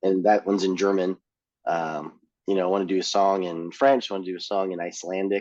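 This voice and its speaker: Very fast speech comes from a man with a Californian accent and a very deep, low pitch. His intonation is fairly even. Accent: California. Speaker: punk band singer. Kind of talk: casual chat. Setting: podcast interview.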